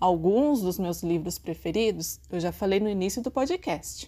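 Lively intonation in a woman's dark, mellow tone. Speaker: librarian. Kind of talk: podcast narration.

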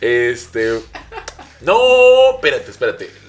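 There is noticeable background noise. Through it, a man can be heard talking. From Veracruz, Mexico. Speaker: comedian. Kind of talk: casual chat.

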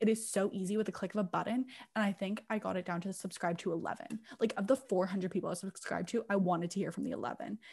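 Somewhat breathy, a woman speaks at a very fast pace with ordinary pitch variation. The recording is very clean, with a silent background. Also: medium pitch for a woman. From England. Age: 20s. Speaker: podcast co-host. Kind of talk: casual chat.

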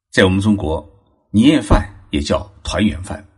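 A man with a fairly low, somewhat breathy voice speaks at a fairly slow pace. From China, Zhejiang. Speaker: podcast host on Japanese culture. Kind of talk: solo narrated talk.

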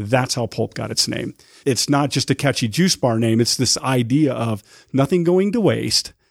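A man with an American accent speaks in a normal speaking voice at medium pitch, with lively intonation and a moderate pace. The sound is dry and close with no echo, in a very clean recording over a silent background. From Utah. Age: 50s. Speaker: restaurant owner and chef. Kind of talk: casual interview. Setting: studio.

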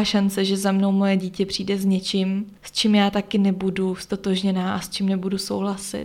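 This woman speaks at a medium pitch. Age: 20s. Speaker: podcast host. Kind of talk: solo podcast monologue. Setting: holiday accommodation room. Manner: quieter than usual.

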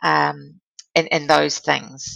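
Speech comes at a very slow pace in a New Zealand accent. The sound is dry and close, with no echo. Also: woman. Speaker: former diplomat and philanthropy leader. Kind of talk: interview.

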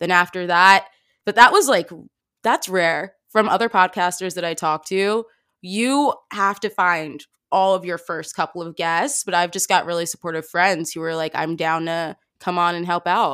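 An ordinary speaking voice comes through at a moderate pace with ordinary pitch variation in a very clean recording with a silent background. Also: woman, fairly low pitch for a woman. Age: 20s. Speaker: podcaster. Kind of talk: casual interview chat.

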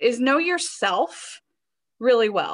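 Using an American accent, a woman speaks at a very slow pace in a raised, projected voice that is high-pitched with a bright, sharp tone. Her pitch swings very widely, and the recording is very clean with a silent background. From US South, West Virginia. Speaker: licensed therapist. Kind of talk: casual chat.

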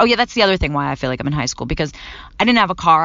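In an American accent, a woman talks at a very deep, low pitch. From Philadelphia, US. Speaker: podcast host. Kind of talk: casual monologue. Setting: in a parked car.

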